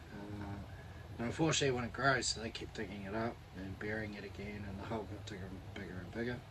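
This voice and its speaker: A very fast man's voice, fairly low, with fairly even intonation, audible room echo and noticeable background noise. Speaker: plant collector vlogger. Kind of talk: casual vlog. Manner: hesitant, with fillers.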